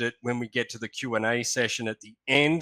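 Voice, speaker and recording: With an Australian accent, a man of medium pitch speaks in a bright, sharp tone, recorded dry and close with no echo. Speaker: historian and astronomy lecturer. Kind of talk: lecture. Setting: online video presentation.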